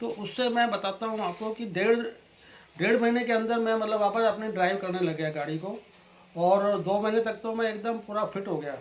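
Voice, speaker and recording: A man with a high pitch talks at a moderate pace in fairly even intonation. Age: 60s. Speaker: customer giving testimonial. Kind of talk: testimony.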